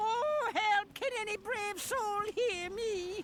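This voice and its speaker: In a put-on character voice, the speaker uses an extremely high pitch at a very slow pace, with clear background noise. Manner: pleading, crying for help.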